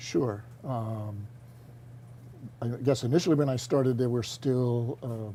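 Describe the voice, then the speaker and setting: With a dark, mellow tone and a somewhat breathy quality, a man speaks at medium pitch and a moderate pace, using ordinary pitch variation. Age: 70s. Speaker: retiring teacher. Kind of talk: interview. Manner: halting.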